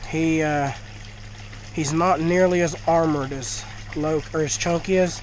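Someone speaks at a fairly slow pace in a Southern US accent. Noticeable background noise can be heard. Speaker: fish keeper and video creator. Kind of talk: casual video vlog. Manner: nervous, excited.

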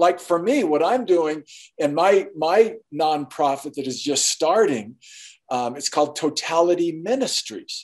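The speaker talks at a fairly slow pace with lively intonation. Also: man, high pitch for a man, quiet background. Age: 60s. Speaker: artist and author; interview guest. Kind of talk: interview. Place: home room. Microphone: video call.

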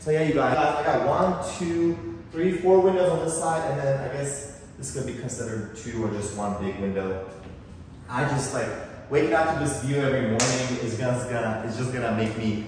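A man talks at a moderate pace. His voice carries strong room echo over light background noise. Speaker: vlogger touring his apartment. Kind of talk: casual vlog chat. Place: home room.

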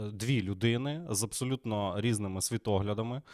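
Recorded very clean with a silent background and a dry, close sound with no echo, a man of medium pitch talks at a fairly slow pace. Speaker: political podcast host, TV presenter. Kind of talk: live stream commentary. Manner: casual, relaxed.

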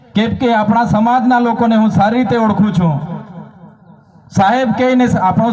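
Amid noticeable background noise and audible room echo, a man speaks at a high pitch. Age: 30s. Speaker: legislator. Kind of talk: political rally speech. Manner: animated.

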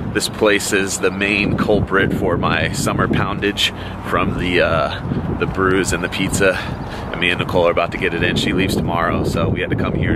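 Loud background noise runs under a man's voice. He talks at a moderate pace, and the sound is dry with no echo. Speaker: vlogger. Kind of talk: casual vlog chat. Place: street. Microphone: phone near.

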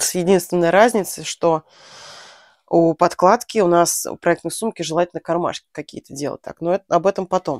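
Against a quiet background with a dry sound and no echo, a woman speaks at a moderate pace in a fairly low pitch with fairly even intonation. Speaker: knitting vlogger. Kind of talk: casual vlog tutorial. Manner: chatty. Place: home room. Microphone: lapel.

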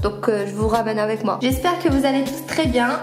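Fairly quick speech over clear background music. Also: woman. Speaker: university student. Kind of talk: casual vlog talk to camera. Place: home room.

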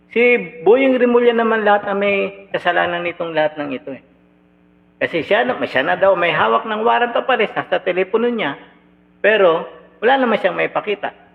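A man's animated, high-pitched voice at a fairly quick pace over noticeable background noise. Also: lively intonation. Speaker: political commentator. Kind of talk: reaction commentary.

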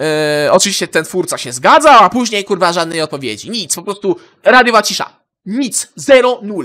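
A man speaks in a raised, projected voice with a high pitch, a bright, sharp tone, very wide pitch swings and big swings in loudness, at a moderate pace, on a very clean recording with a silent background. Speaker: gaming YouTuber. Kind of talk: angry profanity-laden rant to camera. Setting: home recording, solo video. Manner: furious, swearing constantly, venting, stumbling over words.

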